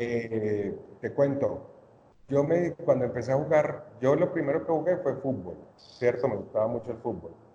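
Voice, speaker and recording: The speaker has a Cali accent and a fairly slow pace. Pitch varies in an ordinary way. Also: man. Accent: Colombian Spanish (Cali, Valle). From Colombia, Cali. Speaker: podcast guest, basketball fan. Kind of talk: casual chat.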